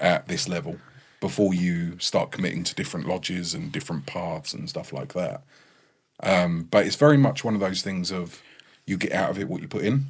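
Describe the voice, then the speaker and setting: This man's voice is very deep and low, with very wide swings in pitch. He talks at a fairly quick pace. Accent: English. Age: 30s. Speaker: freemason. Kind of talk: casual chat.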